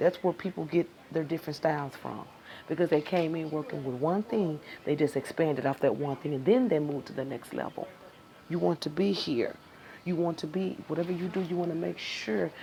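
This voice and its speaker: An unremarkable speaking voice with lively intonation at a moderate pace. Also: woman. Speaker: tarot reading teacher. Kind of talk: live-streamed class.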